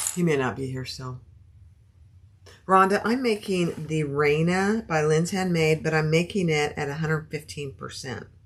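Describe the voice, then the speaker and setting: Somewhat breathy, a woman speaks in a very deep, low pitch with ordinary pitch variation. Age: 60s. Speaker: sewing and bag-making livestreamer. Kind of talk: live sewing tutorial chatting with viewers. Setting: livestream. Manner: soothing; casual and chatty.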